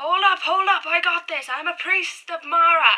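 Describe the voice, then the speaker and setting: Someone shouts in a put-on character voice with an extremely high pitch. The pace is fairly slow. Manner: shouting.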